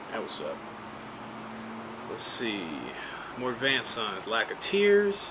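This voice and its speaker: In a Texas accent, the speaker talks fairly slowly with very wide pitch swings and long, frequent pauses, amid audible room echo and noticeable background noise. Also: man, medium pitch for a man. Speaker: YouTuber teaching survival skills. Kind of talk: casual tutorial, commenting on a read-out text. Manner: casual, with many fillers.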